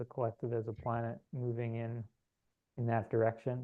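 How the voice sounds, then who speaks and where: A soft-spoken man talks at a moderate pace. His medium-pitched voice stays monotone and flat. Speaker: spiritual channeler. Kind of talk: guided meditation; casual chat. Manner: halting.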